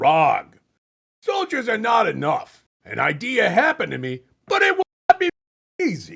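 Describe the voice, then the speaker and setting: Using a put-on character voice at an extremely high pitch, a man talks at a moderate pace with long, frequent pauses, the sound dry and close with no echo. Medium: read story. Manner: curt, commanding.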